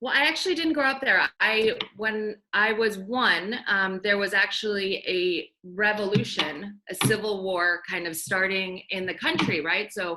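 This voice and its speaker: Speaking at a fairly slow pace, the woman has a medium pitch and ordinary pitch variation. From US, raised from infancy (born in Iran). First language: Farsi. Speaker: banker. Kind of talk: casual chat.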